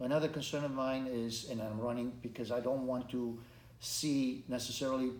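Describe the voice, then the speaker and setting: With audible room echo around him, a man speaks at a medium pitch in a monotone, flat intonation. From Romania. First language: Romanian. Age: 50s. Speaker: congressional candidate. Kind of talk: interview. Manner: halting, with repetitions and restarts.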